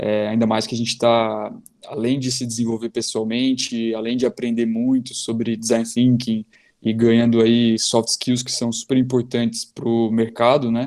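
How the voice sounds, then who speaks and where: Monotone, flat intonation marks a man talking at a medium pitch. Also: moderate pace. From southern Brazil, Joinville. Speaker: ophthalmologist. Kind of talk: live-stream interview.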